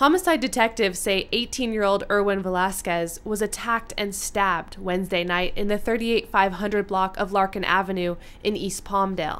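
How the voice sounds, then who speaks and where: A woman with an American accent talks at a fairly quick pace with hardly any pauses, using a normal speaking voice at medium pitch and fairly even intonation. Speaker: TV news reporter. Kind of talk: TV news reporter stand-up and voiceover.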